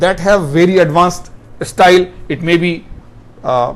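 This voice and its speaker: A man speaks at a fairly slow pace in a high pitch, with audible room echo. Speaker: professor. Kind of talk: lecture.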